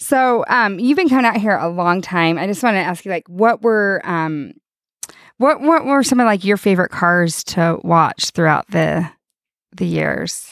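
At a fairly slow pace and with lively intonation, this is a plain, everyday voice. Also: woman, medium pitch for a woman, very clean recording, silent background. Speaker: podcast host. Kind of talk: casual interview. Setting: outdoors at salt flats.

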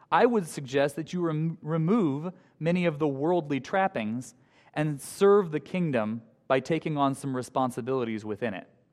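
Against a quiet background, a plain, everyday voice speaks with lively intonation. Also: man, fairly high pitch for a man, moderate pace. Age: 20s. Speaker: high school teacher giving a guest sermon. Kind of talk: sermon. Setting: church with congregation. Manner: light humor, conversational.

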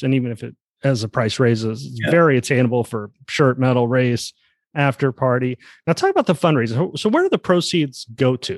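A man with an American accent talks fairly quickly at medium pitch with ordinary pitch variation, in an ordinary speaking voice. The sound is dry and close with no echo. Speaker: podcast host. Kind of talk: casual interview.

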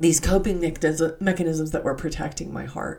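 There is vocal fry in this woman's dark, mellow tone. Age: 50s. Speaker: podcast host, religious teacher. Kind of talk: devotional scripture teaching monologue.

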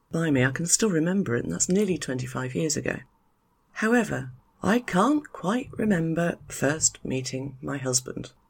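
A woman with a British accent, very deep, low pitch, very wide pitch swings, vocal fry and a moderate pace. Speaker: podcast host, expat life consultant. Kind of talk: solo podcast monologue.

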